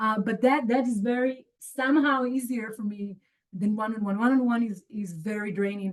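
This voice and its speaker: A woman's fairly high, somewhat breathy voice with ordinary pitch variation, at a fairly quick pace. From Israel. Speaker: human design teacher. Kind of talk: live group call. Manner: casual, halting.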